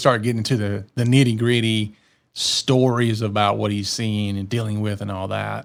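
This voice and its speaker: Very clean audio, with a silent background. A man talks at a moderate pace with a Southern US accent. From US South. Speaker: podcast co-host. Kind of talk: casual chat.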